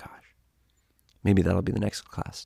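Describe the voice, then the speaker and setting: A man whispers, the sound dry and close with no echo. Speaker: yoga teacher. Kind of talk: guided yoga class. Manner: soft-spoken, gentle.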